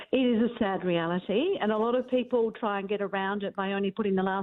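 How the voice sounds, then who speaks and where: A woman speaks in an Australian accent at medium pitch. Her pace is fairly quick and her intonation fairly even. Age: 60s. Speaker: career expert. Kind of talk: radio interview.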